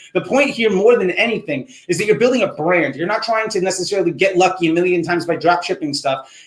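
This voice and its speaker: Noticeable background noise sits behind a man speaking very fast with hardly any pauses. His pitch is high, with ordinary variation. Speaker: marketing instructor. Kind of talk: live Q&A stream. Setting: livestream. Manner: casual.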